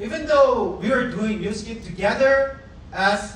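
A man with a Korean accent at a very slow pace, with audible room echo and light background noise. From South Korea. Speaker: network marketing leader; trainer. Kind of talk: motivational talk. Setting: stage with audience. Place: meeting room.

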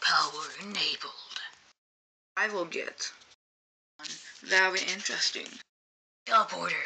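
A cartoonish character voice, female-sounding and raspy at a medium pitch, moves at a moderate pace with long, frequent pauses.

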